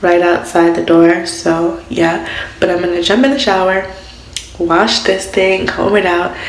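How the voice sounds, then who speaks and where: A woman's voice with audible room echo. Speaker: vlogger. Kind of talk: casual vlog chat. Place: bathroom. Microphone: phone near.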